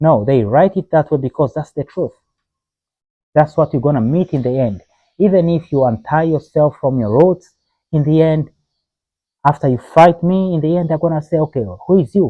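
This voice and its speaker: With an African accent, a man speaks at a moderate pace with ordinary pitch variation and long, frequent pauses. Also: fairly high pitch for a man. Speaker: video blogger. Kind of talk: opinion monologue. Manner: impassioned; hesitant fillers.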